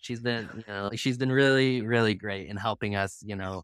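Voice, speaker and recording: A man with an American accent and fairly low pitch talks at a fairly quick pace with ordinary pitch variation, recorded very cleanly against a silent background. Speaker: greenhouse business owner. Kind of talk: interview. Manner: hyper, energetic.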